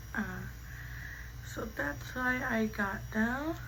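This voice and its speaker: A woman speaks with audible room echo. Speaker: beauty vlogger. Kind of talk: get-ready-with-me storytime chat. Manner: casual, filler-heavy.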